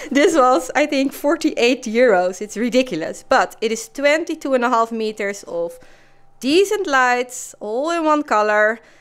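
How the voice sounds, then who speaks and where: In a very clean recording with a silent background, a woman speaks at a moderate pace in a high voice with very wide pitch swings. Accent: Dutch. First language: Dutch. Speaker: lifestyle vlogger. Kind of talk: casual vlog talk.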